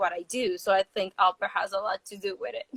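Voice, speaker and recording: A woman with a Spanish accent at a fairly quick pace. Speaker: sports interviewer. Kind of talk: casual interview. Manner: animated.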